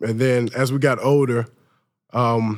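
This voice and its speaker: A man speaks at a medium pitch in a flat monotone. The recording is very clean, with a silent background. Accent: American. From US South, Mobile, Alabama. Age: 20s. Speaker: college football player. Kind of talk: interview. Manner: hesitant, many fillers.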